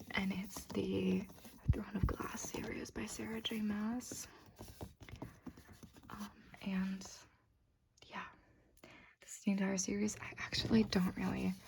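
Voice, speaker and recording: A soft-spoken woman talks at a fairly slow pace, with big swings in loudness and long, frequent pauses. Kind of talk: soft-spoken ASMR bookshelf tour.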